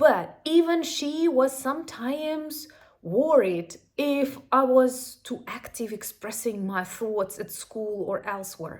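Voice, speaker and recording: A woman with a Ukrainian accent speaks at a very slow pace in a high pitch. Her intonation is lively, and her loudness swings widely. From Ukraine. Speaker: YouTuber. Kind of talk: casual commentary.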